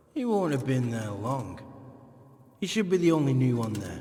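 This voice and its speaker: A man uses a gruff, put-on character voice at medium pitch. He goes at a moderate pace, with audible echo. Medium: video game. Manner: gruff, mocking, laughs often.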